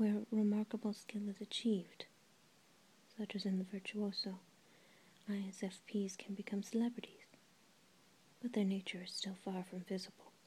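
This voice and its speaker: A soft-spoken woman whispers in a somewhat breathy voice. Her speech has long, frequent pauses. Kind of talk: soft-spoken audiobook-style reading of a book. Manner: very soft-spoken, near-whisper.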